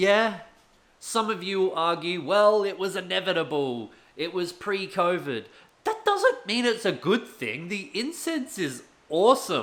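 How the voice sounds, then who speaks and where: Shouting loudly in an Australian accent, a man with a high pitch for a man speaks at a fairly slow pace with lively intonation. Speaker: gaming YouTuber and streamer. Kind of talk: rant video. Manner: loud, shouting.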